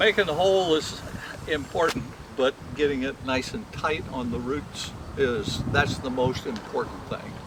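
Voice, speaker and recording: Fairly high pitch from a man, lively intonation and a moderate pace over noticeable background noise. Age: 70s. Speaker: retired Christmas tree farmer. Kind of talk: demonstration. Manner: halting.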